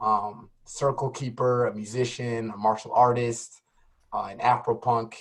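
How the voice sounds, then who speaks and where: At a fairly slow pace, a man talks at medium pitch with monotone, flat intonation. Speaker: community organizer, event host. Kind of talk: online class introduction.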